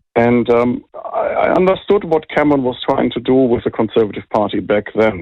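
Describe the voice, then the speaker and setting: A man speaks with a German accent. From Germany. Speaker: think tank director. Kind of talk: interview.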